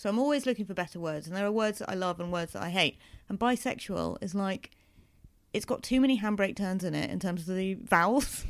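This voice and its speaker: Recorded very cleanly over a silent background, a woman speaks at a fairly quick pace. She has an unremarkable speaking voice, medium in pitch, with ordinary pitch variation. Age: 30s. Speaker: comedian. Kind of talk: interview.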